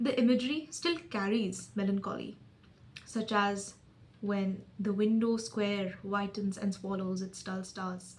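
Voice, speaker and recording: At a fairly slow pace, a woman speaks at a medium pitch with ordinary pitch variation amid noticeable background noise. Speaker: video essayist. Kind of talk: reading aloud own essay. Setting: recording to camera.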